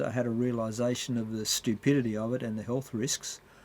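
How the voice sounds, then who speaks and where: This man talks at a moderate pace and a medium pitch. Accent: Australian. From Australia. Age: 70s. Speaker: retired paramedic. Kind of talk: informal health talk.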